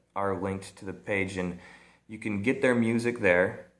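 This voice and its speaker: A man with an American accent, fairly low pitch, moderate pace and fairly even intonation, plus audible room echo. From US Midwest, central Illinois. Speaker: vlogger. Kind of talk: casual vlog monologue. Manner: halting, many repeats and fillers.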